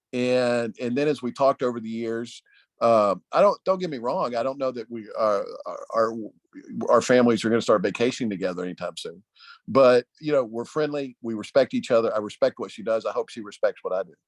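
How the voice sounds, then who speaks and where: In a Tennessee accent, a man talks at a fairly quick pace with big swings in loudness. The sound is dry and close, with no echo. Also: quiet background. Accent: Southern US (Tennessee). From Nashville, Tennessee. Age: 50s. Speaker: political consultant. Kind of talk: panel discussion.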